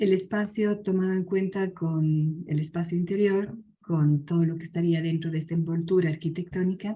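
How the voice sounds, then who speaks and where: A somewhat breathy woman at a moderate pace, fairly low in pitch, with fairly even intonation and hardly any pauses. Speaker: conference speaker, design researcher. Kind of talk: conference presentation.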